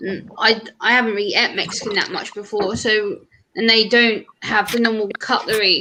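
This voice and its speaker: Bright and sharp in tone, a woman speaks at a fairly high pitch and a moderate pace. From Britain. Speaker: livestream panelist. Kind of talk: casual chat. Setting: live stream.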